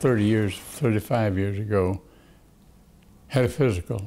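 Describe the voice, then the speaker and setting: Using a dark, mellow tone, a man with a Texan accent speaks with ordinary pitch variation. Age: 80s+. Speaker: attorney. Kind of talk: interview answer.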